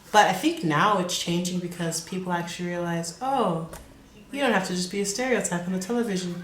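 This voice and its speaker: Speaking at a fairly quick pace with an American accent, a woman's medium-pitched voice shows ordinary pitch variation amid audible room echo and noticeable background noise. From Kansas. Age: 20s. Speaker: college student. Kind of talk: interview. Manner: casual, hesitant.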